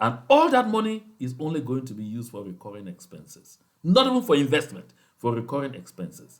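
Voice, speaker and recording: A man's fairly high voice moves at a moderate pace through very wide pitch swings. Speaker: activist leader addressing movement supporters. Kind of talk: political address to supporters. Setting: outside his usual station, remote recording. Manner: impassioned.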